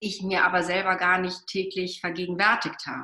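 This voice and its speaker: A bright, sharp tone from a woman speaking at a fairly slow pace. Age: 50s. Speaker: pediatrician. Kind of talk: interview. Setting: podcast interview.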